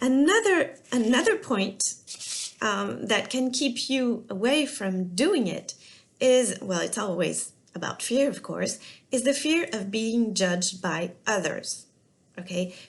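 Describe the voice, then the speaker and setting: Speaking very slowly with a French accent, a woman uses a fairly high, somewhat breathy voice and lively intonation. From France. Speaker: business and life coach. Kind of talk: talking-head coaching video. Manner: halting, many fillers.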